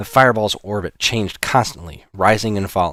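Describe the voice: Someone does a plain reading aloud, the intonation fairly even throughout.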